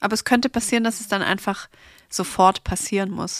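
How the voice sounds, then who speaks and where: A woman with a medium pitch speaks at a very fast pace with fairly even intonation, the sound dry and close with no echo. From Stuttgart, southwest Germany. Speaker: hair salon founder. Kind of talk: casual chat.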